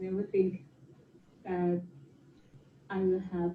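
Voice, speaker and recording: A woman talks with a dark, mellow tone at a medium pitch. Her voice is somewhat breathy. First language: Thai. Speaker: former exchange student. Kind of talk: recorded personal video talk.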